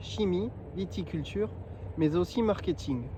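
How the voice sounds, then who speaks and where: Here is a man speaking. His voice sits at a high pitch. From southwest France (Béarn). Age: 20s. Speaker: winemaking graduate applicant. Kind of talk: scripted self-presentation. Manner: formal.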